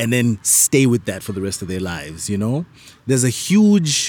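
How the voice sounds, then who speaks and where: Here a man uses an ordinary speaking voice at a moderate pace. His pitch is fairly low. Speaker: podcast host. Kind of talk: casual interview chat. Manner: relaxed, friendly, laughs often.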